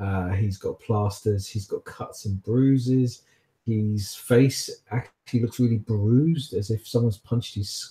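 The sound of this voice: Pitch variation is ordinary in this unforced reading voice. The background is quiet.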